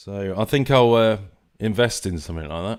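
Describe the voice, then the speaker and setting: Man with a southern English accent and fairly low pitch at a moderate pace, on a very clean recording with a silent background. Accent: southern English, London-ish. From England. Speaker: live stream host. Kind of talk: live stream commentary. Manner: hesitant, many fillers and repeats; casual, conversational.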